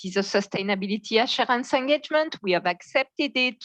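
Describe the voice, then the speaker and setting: Woman with a French accent and lively intonation, at a moderate pace, in a dry, close sound with no echo and a quiet background. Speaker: standards board member. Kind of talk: meeting presentation. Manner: halting.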